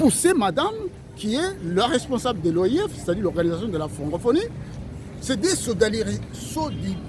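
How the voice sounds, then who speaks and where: Over noticeable background noise, a high-pitched man speaks fairly quickly in an animated tone, with very wide pitch swings and long, frequent pauses. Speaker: lawyer. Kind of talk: TV interview. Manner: fast.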